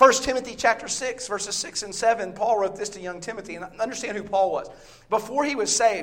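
A man with a Southern US accent and a high pitch talks very fast in an animated tone. His loudness swings widely, and there is noticeable background noise. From US South, Bible Belt. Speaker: visiting preacher. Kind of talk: sermon. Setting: church.

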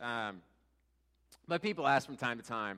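A man speaks loudly. The recording is very clean, with a silent background. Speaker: church teacher. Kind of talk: sermon. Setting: church.

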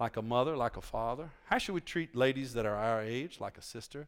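Speaking in an American accent, a man talks fairly quickly at a medium pitch with ordinary pitch variation. His tone is animated, and the recording is very clean with a silent background. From Virginia, US. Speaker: visiting preacher and missionary. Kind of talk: sermon. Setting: church with congregation. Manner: animated, conversational, humorous.

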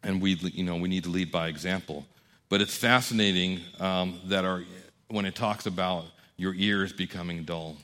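A man with a very deep, low pitch and a bright, sharp tone speaks at a moderate pace in a monotone, flat intonation on a very clean recording with a silent background. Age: 40s. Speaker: pastor. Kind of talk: sermon. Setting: church.

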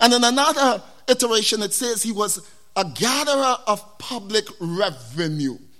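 A man with a West Indian accent speaks in a raised, projected voice, high-pitched with a bright, sharp tone. His delivery is animated, with lively intonation at a moderate pace. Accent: West Indian Caribbean English. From West Indies. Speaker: preacher. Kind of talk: sermon. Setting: church.

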